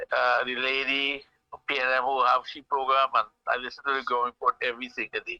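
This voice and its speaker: A man with a Trinidadian accent talks at a very fast pace. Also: dry, close sound with no echo. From Trinidad, Freeport. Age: 60s. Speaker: caller. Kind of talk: call-in political talk. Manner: halting, repetitive.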